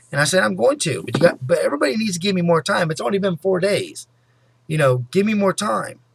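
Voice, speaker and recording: A man at a very fast pace and high pitch, with very wide pitch swings. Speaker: vlogger. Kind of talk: personal vlog monologue.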